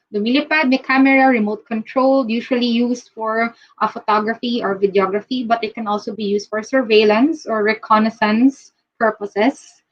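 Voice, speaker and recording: Someone with a Filipino accent talks at a fairly quick pace with fairly even intonation. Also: woman, fairly high pitch for a woman. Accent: Filipino English, Taglish code-switching. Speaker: recruiter. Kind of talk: live-stream recruitment talk. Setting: live video stream. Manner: fast.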